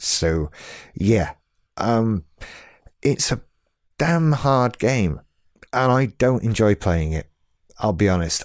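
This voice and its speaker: At a very slow pace with long, frequent pauses, a man with a British accent speaks at a medium pitch but with very wide pitch swings. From UK. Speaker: podcast host. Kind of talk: solo podcast monologue.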